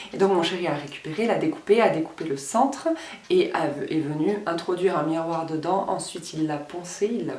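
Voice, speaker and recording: Audible room echo and noticeable background noise surround a woman speaking at a fairly low pitch. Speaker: beauty and lifestyle vlogger. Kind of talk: casual vlog talk to camera. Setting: at home, filming in her room. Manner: louder than usual; soft-spoken.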